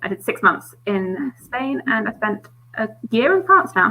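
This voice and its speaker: With a British accent, a woman at a fairly high pitch talks very slowly over noticeable background noise. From England. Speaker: book youtuber. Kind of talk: casual chat.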